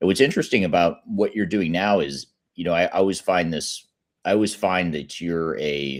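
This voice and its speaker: A man with a very deep, low pitch and ordinary pitch movement is captured on a very clean recording with a silent background. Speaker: podcast host. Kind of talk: interview. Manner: fast.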